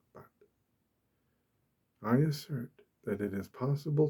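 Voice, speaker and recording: A man talks softly at a fairly slow pace in a calm tone. His voice is dark and mellow, and somewhat breathy. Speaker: ASMR creator. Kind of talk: ASMR soft-spoken talk about peace. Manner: soft-spoken, calm.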